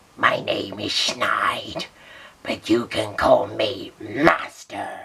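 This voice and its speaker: The speaker uses a put-on character voice that is raspy. Delivery comes at a very slow pace. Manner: smug, villainous.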